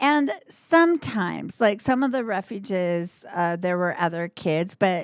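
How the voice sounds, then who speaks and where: The speech moves at a fairly slow pace with lively intonation in a Northern Indiana accent. The recording is very clean, with a silent background. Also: woman. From moved around US; teen years in Alaska. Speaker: TV news anchor. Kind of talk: casual interview chat.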